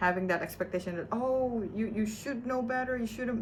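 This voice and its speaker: A woman with a non-native accent talks at a fairly quick pace in a fairly high voice, with audible room echo and noticeable background noise. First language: not English. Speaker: vlogger. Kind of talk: personal video diary. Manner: halting.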